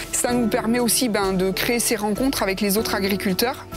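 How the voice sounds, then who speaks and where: A woman speaks at a fairly quick pace with ordinary pitch variation. The sound is dry with no echo, and music plays clearly in the background. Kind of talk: interview answer. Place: open country. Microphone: lapel.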